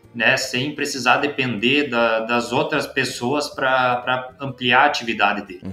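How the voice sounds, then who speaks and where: Music plays in the background as the speaker goes at a fairly slow pace with hardly any pauses. The intonation stays fairly even. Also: man, medium pitch for a man. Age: 20s. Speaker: vegetable farmer and agronomist. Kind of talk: casual interview.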